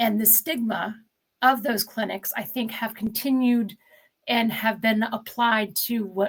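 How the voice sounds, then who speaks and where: Somewhat breathy and fairly high-pitched, a woman talks at a fairly slow pace with fairly even intonation. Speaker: addiction therapist. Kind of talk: interview.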